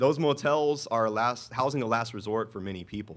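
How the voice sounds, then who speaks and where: Recorded very cleanly against a silent background, a man talks with ordinary pitch variation. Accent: American. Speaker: city manager. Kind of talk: public speech at dedication event. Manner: fast.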